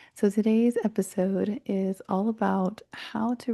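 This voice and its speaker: Her medium-pitched voice is somewhat breathy, with a dark, mellow tone. The woman keeps her intonation fairly even in a dry, close sound with no echo. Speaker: podcast host and mindset coach. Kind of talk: solo podcast talk. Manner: casual, with fillers and restarts.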